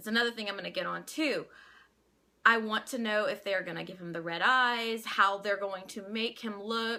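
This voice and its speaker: In a Louisiana accent, a woman with a fairly high pitch speaks at a moderate pace. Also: big swings in loudness. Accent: Louisiana accent, milder than Cajun. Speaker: vlogger. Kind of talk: casual vlog opinion. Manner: halting, many restarts.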